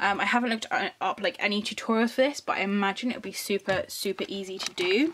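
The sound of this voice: At a fairly quick pace, a woman talks with a medium pitch and a fairly bright tone.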